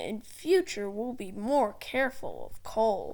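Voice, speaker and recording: In a very clean recording with a silent background, a female-sounding put-on character voice speaks fairly slowly at a fairly high pitch. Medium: read story.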